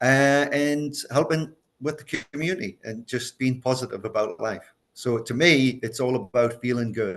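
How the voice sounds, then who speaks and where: Moderate pace and ordinary pitch variation in an ordinary speaking voice. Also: man, medium pitch for a man. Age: 60s. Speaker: chef and culinary educator. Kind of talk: casual chat.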